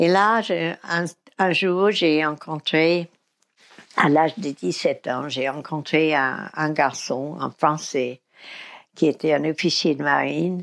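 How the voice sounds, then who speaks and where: A woman speaks very slowly in a very deep, low voice. Her long, frequent pauses sit against a quiet background. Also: ordinary pitch variation. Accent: American. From US South, Mississippi. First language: English (speaking French). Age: 80s+. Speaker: recovering alcoholic sharing her story. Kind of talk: testimony. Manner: halting.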